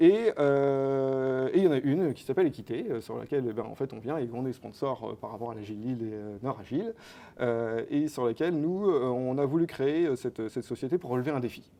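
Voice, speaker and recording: The man's medium pitch varies in an ordinary way as he moves at a fairly quick pace. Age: 30s. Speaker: company co-founder. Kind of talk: interview. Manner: hesitant, many fillers.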